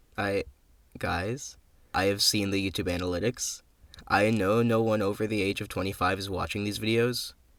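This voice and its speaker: Speaking at a moderate pace in a flat monotone, a man with a fairly low voice is heard on a very clean recording with a silent background. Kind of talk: casual talk while drawing.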